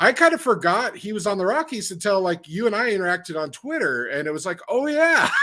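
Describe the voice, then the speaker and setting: This man talks in a raised, projected voice at a very fast pace with hardly any pauses. His pitch is high and swings very widely over noticeable background noise. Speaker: podcast guest, sports card collector. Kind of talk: casual chat.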